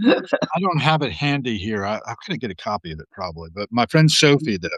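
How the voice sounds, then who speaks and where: Over a quiet background, a man talks at a moderate pace with a dry, close sound and no echo. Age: 60s. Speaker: podcast host and guest. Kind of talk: casual chat. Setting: live video stream.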